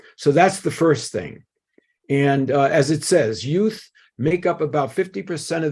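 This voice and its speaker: A man talks at a fairly high pitch and a fairly slow pace. His tone is dark and mellow, with ordinary pitch variation. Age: old. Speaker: scientist speaking at a seminar. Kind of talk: lecture.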